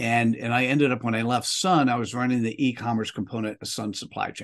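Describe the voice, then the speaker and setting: Against a quiet background, a man talks fairly quickly at a medium pitch with ordinary pitch variation. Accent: American. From US Northeast (New Jersey). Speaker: author and executive coach. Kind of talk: interview conversation. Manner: hesitant with fillers and repetitions.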